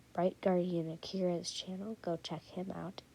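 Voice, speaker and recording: A quiet woman's voice with a dark, mellow tone, fairly low pitch and monotone, flat intonation at a fairly quick pace. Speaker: YouTuber. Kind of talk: casual vlog commentary.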